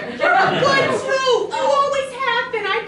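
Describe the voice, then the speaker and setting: A squeaky, extremely high put-on character voice moves at a fairly slow pace over noticeable background noise. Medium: stage play. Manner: earnest, playful.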